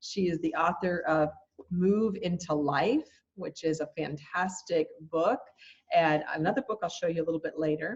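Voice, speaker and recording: Somewhat breathy, the voice moves at a moderate pace with ordinary pitch variation. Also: woman, fairly low pitch for a woman. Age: 60s. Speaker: summit interviewer. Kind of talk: interview.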